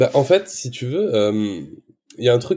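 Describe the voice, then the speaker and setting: A man's voice, dark and mellow in tone, is heard over a quiet background. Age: 20s. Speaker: social media creator and father. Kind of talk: casual interview. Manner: halting, repeats words.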